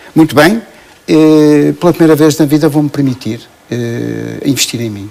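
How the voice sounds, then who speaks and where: With a fairly high pitch and a dark, mellow tone, a man speaks at a moderate pace with ordinary pitch variation. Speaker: coach, association president. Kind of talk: TV talk show interview. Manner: hesitant, many fillers.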